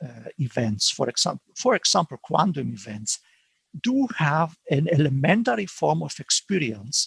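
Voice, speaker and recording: A man with a non-native accent speaks at a moderate pace with a fairly high pitch and vocal fry. His pitch swings are very wide, and the sound is dry and close with no echo. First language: not English. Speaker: philosophy professor. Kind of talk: academic Q&A answer. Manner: halting, many self-corrections.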